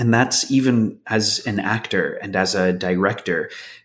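Speaking at a fairly slow pace, a man uses a normal speaking voice that sits fairly low in pitch. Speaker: actor and filmmaker. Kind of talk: casual interview. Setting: video call.

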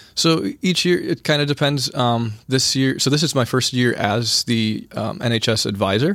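A man with an American accent speaks in a plain, everyday voice at medium pitch, with ordinary pitch variation. His pace is moderate, his loudness very even, and he takes hardly any pauses. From rural eastern Wisconsin, Sheboygan area. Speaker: high school teacher. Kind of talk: interview. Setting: studio.

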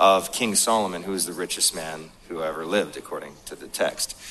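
Moderate-paced talk from a man with an American accent, noticeable background noise behind him. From North Dakota, US. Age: 30s. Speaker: motivational speaker. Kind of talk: seminar talk. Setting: stage with audience.

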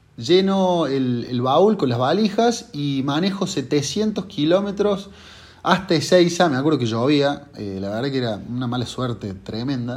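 A fairly high male voice at a fairly slow pace, with very wide pitch swings. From Argentina, Córdoba. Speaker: consumer-law lawyer. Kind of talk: monologue presentation of a legal case. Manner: hesitant with filler words.

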